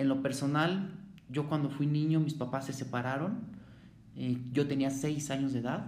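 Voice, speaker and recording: A man with a Mexico City accent and a fairly high pitch speaks with fairly even intonation and very even loudness, with audible room echo. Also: moderate pace. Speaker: former juvenile offender. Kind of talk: testimony. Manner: halting.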